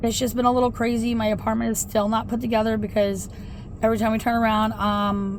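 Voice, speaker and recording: The speaker talks at a fairly quick pace in a monotone, flat intonation. Room echo is audible. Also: woman. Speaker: vlogger. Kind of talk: casual vlog talk. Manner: loud.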